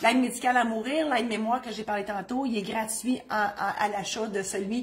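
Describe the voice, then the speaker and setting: An animated woman with a Quebec accent, somewhat breathy, fairly high in pitch, at a fairly quick pace. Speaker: notary and humorist. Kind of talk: legal advice video with self-promotion. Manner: fast.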